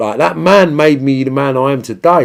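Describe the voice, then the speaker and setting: With a Cockney accent, a man talks at a moderate pace and medium pitch in an animated tone. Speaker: livestream host answering viewer questions. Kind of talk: casual livestream chat reading comments.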